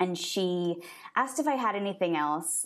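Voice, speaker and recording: This woman has a plain, everyday voice with a fairly low pitch. She talks at a moderate pace. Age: 30s. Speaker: author. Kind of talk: interview.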